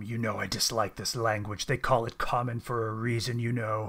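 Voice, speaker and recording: A put-on, growling character voice with monotone, flat intonation at a moderate pace. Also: man, medium pitch for a man. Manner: disdainful, haughty.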